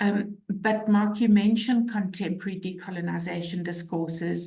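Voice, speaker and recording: A woman's monotone, flat delivery in a South African accent, with audible room echo. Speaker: social work academic. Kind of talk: webinar discussion.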